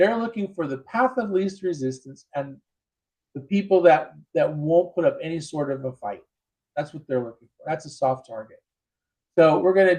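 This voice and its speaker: This man has an unremarkable speaking voice, fairly high in pitch, with lively intonation, big swings in loudness, and a moderate pace. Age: 60s. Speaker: self-defense instructor. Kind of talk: interview. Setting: live show.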